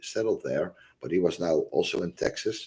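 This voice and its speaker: A man with a Dutch accent at a moderate pace, in a very clean recording with a silent background. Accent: obvious Dutch. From Netherlands. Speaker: religious and history video host. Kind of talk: casual monologue livestream. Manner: halting, many fillers.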